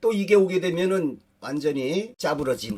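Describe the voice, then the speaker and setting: The speaker is a man. He has an ordinary speaking voice. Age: 60s. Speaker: dream interpreter and fortune teller. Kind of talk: personal storytelling lecture. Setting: studio video recording.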